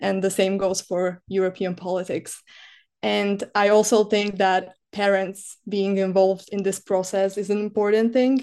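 Against a quiet background, a woman speaks in a dark, mellow tone. Her intonation is monotone and flat. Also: medium pitch for a woman, moderate pace. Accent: Slovak. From Slovakia. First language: Slovak. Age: 20s. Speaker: student and disinformation NGO worker. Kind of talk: podcast interview. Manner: hesitant, many filler sounds.

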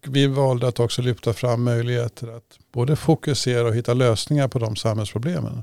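A man speaks at medium pitch and a moderate pace in a dark, mellow tone. The recording is very clean with a silent background, dry and close with no echo. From Sweden, Stockholm region. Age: 60s. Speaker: local politician. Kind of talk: interview.

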